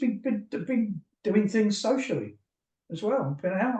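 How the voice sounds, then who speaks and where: A man talks at a moderate pace in an English accent. His tone is dark and mellow. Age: 60s. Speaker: therapist. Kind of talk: interview.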